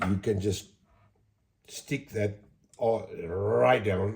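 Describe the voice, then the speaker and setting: The tone is dark and mellow, somewhat breathy, with ordinary pitch variation. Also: man. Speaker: model railway hobbyist. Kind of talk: tutorial. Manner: casual, chatty.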